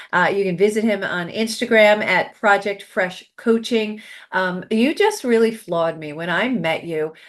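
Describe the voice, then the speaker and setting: A woman speaks at a moderate pace with a medium pitch. Her pitch varies in an ordinary way over a quiet background. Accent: New York. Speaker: podcast host and success coach. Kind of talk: interview talk show.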